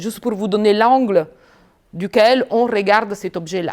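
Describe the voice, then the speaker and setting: A woman speaks with an Italian accent. Her voice is fairly high in pitch, and her pace is moderate. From Italy. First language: Italian (speaking French). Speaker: business school professor. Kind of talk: lecture.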